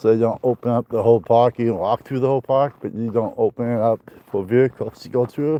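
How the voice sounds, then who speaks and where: Speaking at a moderate pace with an American accent, a man has a medium pitch and fairly even intonation, recorded with a dry, close sound and no echo. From northwest Iowa. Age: 50s. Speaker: outdoors vlogger. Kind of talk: casual live-stream chat while hiking. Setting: outdoors on a hike.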